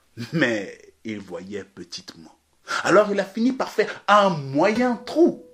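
A man's very slow delivery with big swings in loudness. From Ghana. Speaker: storyteller. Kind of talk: storytelling performance. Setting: remote recording during lockdown. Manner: animated. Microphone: occasional technical problems.

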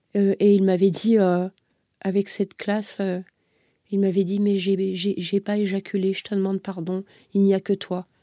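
A woman speaks at a moderate pace in a dark, mellow tone of medium pitch, with monotone, flat intonation. The recording is very clean with a silent background, and the sound is dry and close with no echo. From France, Versailles area. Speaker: abuse survivor telling her story. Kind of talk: testimony. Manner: hesitant, many fillers.

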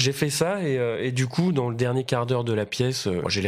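Fairly quick and lively in intonation, a man talks at a medium pitch on a very clean recording with a silent background. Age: 30s. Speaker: actor. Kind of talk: casual interview chat. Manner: halting, many fillers and repeats.

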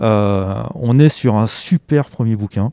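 Dark and mellow in tone, a man's fairly low voice carries ordinary pitch variation in a dry, close sound with no echo. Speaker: bookseller. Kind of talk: interview, casual talk. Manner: hesitant, halting, repeats words.

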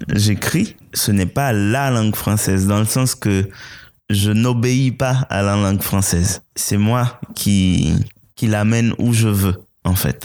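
A man talks at a very slow pace in a Haitian accent. The recording is very clean, with a silent background. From Haiti, rural village then Port-au-Prince. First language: Haitian Creole (speaking French). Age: young. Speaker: playwright and poet. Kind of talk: interview.

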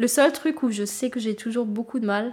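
A woman speaks with a somewhat breathy voice. Her intonation stays fairly even. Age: 30s. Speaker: nursing assistant in a care home. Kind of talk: documentary interview.

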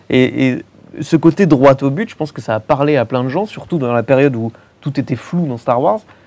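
With an ordinary speaking voice, a man talks at a moderate pace, fairly high in pitch, with ordinary pitch variation. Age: 30s. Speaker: film podcaster. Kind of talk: casual panel discussion. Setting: filmed panel in a cinema.

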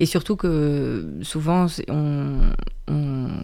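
Her voice is very deep and low, a woman's voice with a dark, mellow tone. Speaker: speech therapist. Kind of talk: casual chat.

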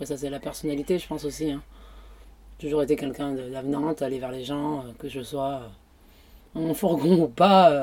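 A woman speaks at a moderate pace in a very deep, low pitch with a dark, mellow tone. Her loudness swings widely, and she leaves long, frequent pauses. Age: 30s. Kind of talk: casual interview. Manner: hesitant.

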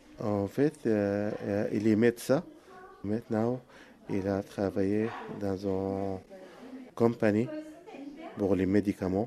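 At a very slow pace with long, frequent pauses, a man with an Arabic accent speaks at a fairly low pitch with fairly even intonation. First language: Arabic (speaking French). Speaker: potter. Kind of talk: interview. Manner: halting.

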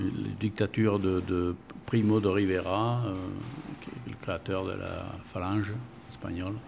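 A man speaks at a fairly low pitch with fairly even intonation. He leaves long, frequent pauses. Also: fairly slow pace. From Bordeaux, France (Spanish immigrant parents). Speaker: long-time local resident. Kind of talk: interview, life story. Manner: halting, many hesitations.

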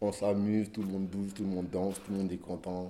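Monotone, flat delivery in a dark, mellow tone at a fairly quick pace. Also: man. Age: 20s. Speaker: rapper. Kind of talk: casual street interview. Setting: outdoors in the street.

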